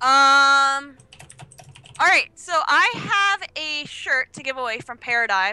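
A raised, projected voice moves at a very slow pace with lively intonation and big swings in loudness, against noticeable background noise. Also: woman, high pitch for a woman. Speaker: esports organization owner. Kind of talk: casual livestream chat.

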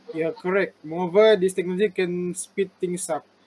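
A high-pitched male voice, flat and monotone, with light background noise. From Malaysia, Sabah. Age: 30s. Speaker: university student interviewer. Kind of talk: class assignment interview. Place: home room. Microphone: video call.

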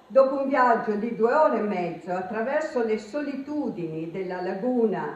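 There is audible room echo around a woman whose intonation is lively. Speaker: lecturer. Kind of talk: lecture. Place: hall. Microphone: camera far.

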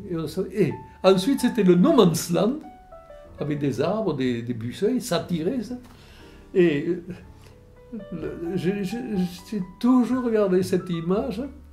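Speaking at a very slow pace with long, frequent pauses, this voice has lively intonation, and faint music plays in the background. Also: man. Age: 80s+. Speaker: war veteran. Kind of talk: interview answer. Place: home room.

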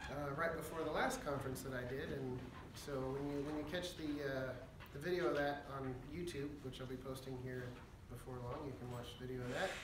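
A man at medium pitch speaks at a fairly quick pace with fairly even intonation, with audible room echo and clear background noise.

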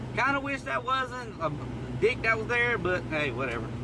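This man's voice sounds dry with no echo, and noticeable background noise runs behind it. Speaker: urban explorer vlogger. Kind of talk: casual vlog chat. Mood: mildly annoyed, relaxed. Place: car. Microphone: phone near.

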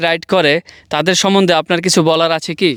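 The high-pitched voice of a man comes through in a monotone, flat intonation. It is a very clean recording with a silent background. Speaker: YouTube vlogger, interviewer. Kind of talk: interview. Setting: outdoors in desert hills.

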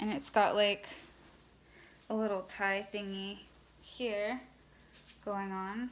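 A woman with an American accent speaks in a monotone, flat intonation at a very slow pace with long, frequent pauses. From California, Los Angeles. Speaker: vintage clothing seller, YouTuber; vintage clothing seller. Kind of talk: casual haul video; casual vlog chat. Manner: many fillers (um). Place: home room. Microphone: phone near.

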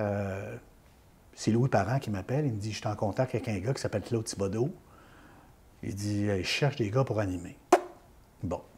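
Speaking at a moderate pace with long, frequent pauses, a man uses a fairly low, somewhat breathy voice with ordinary pitch variation. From Quebec, Beauce region. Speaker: former radio host. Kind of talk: interview, life story. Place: home room. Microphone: lapel.

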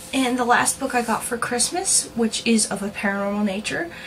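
A woman talks at a moderate rate while noticeable background noise carries on behind her. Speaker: video blogger. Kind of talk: casual vlog monologue. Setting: home video, talking to camera. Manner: casual, chatty, halting.

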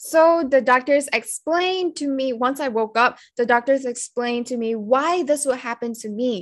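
In a quiet background, a woman talks at a moderate pace with a high pitch and ordinary pitch variation. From Malaysia, Selangor. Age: 40s. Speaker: product testimonial giver. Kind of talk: testimony. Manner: halting, many fillers. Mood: grateful, earnest. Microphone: video call.

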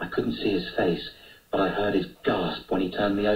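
Reading aloud, plain

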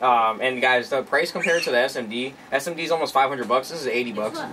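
A man races along at a very fast pace, with ordinary pitch variation and light background noise behind him. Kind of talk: casual vlog chat. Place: garage.

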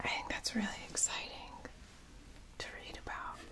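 A woman whispering. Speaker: ASMR creator. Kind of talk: ASMR whispered roleplay. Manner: whispered, soft-spoken. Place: home room.

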